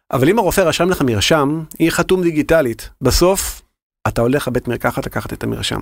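This man has a plain, everyday voice. He talks at a fairly quick pace with lively intonation. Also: fairly high pitch for a man. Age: 40s. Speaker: health-tech innovation manager. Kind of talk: interview.

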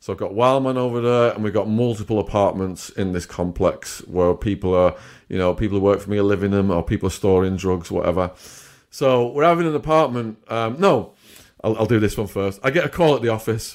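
Here a man talks with an English accent at a fairly quick pace. His pitch is fairly low with ordinary variation. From England. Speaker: former drug trafficker turned author and YouTuber. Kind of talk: interview storytelling. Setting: video call.

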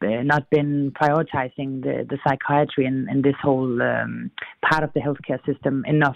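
The speaker, with a Danish accent, keeps a moderate pace. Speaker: newspaper editor. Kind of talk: interview. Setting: remote link.

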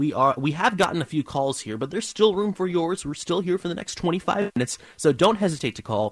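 An energetic man with very wide pitch swings, against a quiet background. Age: 20s. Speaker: radio co-host. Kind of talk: call-in radio show. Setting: studio.

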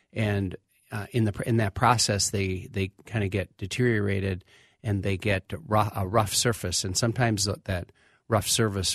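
In an American accent, a man with a very deep, low voice speaks at a moderate pace with fairly even intonation, the sound dry and close with no echo over a quiet background. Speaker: auto technician. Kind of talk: radio call-in advice. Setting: studio.

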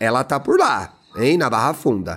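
A man speaks at a fairly slow pace with vocal fry. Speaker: podcast co-host. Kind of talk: casual chat. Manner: animated.

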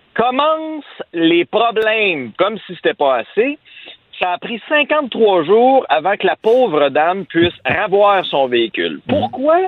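The pace is very slow, and the pitch swings very widely. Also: man. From Quebec, Abitibi. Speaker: radio columnist. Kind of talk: radio commentary.

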